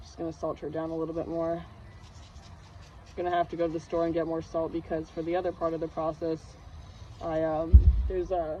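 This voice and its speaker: A woman speaks at a fairly quick pace with a fairly low pitch and monotone, flat intonation. Her loudness swings widely, and she takes long, frequent pauses. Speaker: hobbyist video creator. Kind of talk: casual tutorial vlog. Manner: rambling, hesitant with many fillers.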